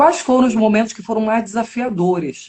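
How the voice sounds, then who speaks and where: There is some breathiness in this woman's voice. She talks very fast. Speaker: podcast host, educational psychologist. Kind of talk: interview.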